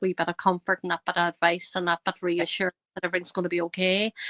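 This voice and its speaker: In a strong Northern Irish accent, a woman with a medium pitch and a bright, sharp tone talks very fast, in a very clean, dry, close recording with no echo and a silent background. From Northern Ireland, County Tyrone. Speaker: psychic medium. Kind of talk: podcast interview. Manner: hesitant, many fillers.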